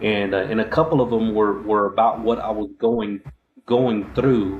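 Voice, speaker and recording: This is a man with a Texan accent. His pitch sits fairly low, and his intonation stays fairly even. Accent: Texas accent with a drawl. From Texas, Abilene. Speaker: podcast host, army veteran. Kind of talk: casual interview chat. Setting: live-streamed show. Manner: halting, many fillers.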